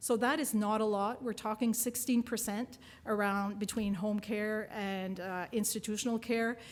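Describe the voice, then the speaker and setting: Speaking in a French accent, a woman keeps a fairly high pitch and moderate pace with monotone, flat intonation. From New Brunswick, Canada. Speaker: nursing professor and researcher. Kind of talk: keynote lecture.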